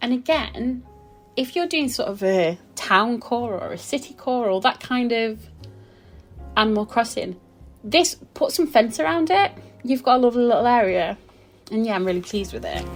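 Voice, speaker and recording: Over background music, a woman with a high voice and lively intonation speaks at a moderate pace, leaving long, frequent pauses. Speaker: gaming content creator. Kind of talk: casual game build commentary. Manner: rambling, hesitant with fillers.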